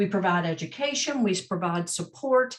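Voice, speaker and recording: The speech moves at a fairly quick pace. There is a slight Southern US accent. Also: woman. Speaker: mental health advocacy representative. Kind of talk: panel presentation.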